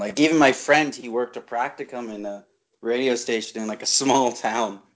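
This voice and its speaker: A man with an ordinary speaking voice talks at a fairly quick pace, his pitch medium and his intonation fairly even, with big swings in loudness. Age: 20s. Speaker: podcast co-host. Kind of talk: casual chat.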